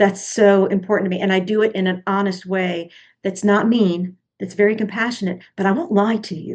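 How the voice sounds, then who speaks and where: A woman speaks in a normal speaking voice at medium pitch, with fairly even intonation. Her pace is moderate. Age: 60s. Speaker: podcast co-host, marketing coach. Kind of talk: casual discussion.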